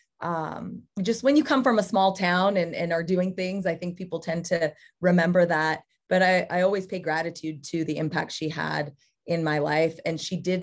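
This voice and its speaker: In a normal speaking voice, a woman talks at a moderate pace with a fairly low pitch and ordinary pitch variation, over a quiet background. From California, Central Valley. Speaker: college cross country head coach. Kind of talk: podcast interview.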